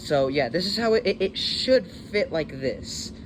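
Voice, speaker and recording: Noticeable background noise sits behind a man's voice. He talks at a moderate pace with lively intonation. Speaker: DIY maker youtuber. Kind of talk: tutorial. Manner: hesitant, many fillers.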